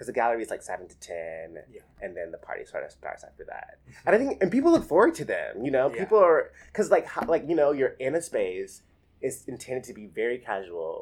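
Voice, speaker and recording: Speaking very fast with an American accent, the voice swings widely in loudness. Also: man. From rural Alabama, US South. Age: 20s. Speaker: artist. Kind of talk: oral history interview.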